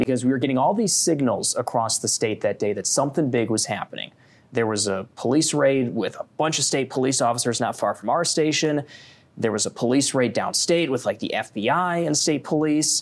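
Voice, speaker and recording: A man with an American accent talks at a fairly quick pace with ordinary pitch variation in an ordinary speaking voice. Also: fairly high pitch for a man. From northern Michigan. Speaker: TV news anchor. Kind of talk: casual chat.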